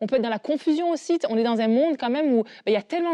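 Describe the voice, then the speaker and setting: In a dry, close recording with no echo and a quiet background, a woman speaks with a high pitch, a dark, mellow tone and lively intonation. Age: 30s. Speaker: panelist. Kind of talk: casual talk-show discussion.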